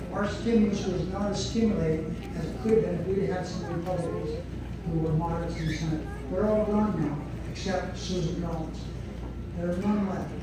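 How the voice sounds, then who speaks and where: The speech moves at a fairly quick pace. Strong room echo and noticeable background noise fill the recording. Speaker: speaker. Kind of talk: political speech. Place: hall.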